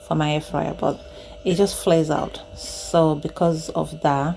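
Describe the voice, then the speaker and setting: A woman is soft-spoken. Noticeable background noise runs behind her. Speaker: home cooking vlogger. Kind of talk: casual product demonstration. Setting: home kitchen, handheld camera.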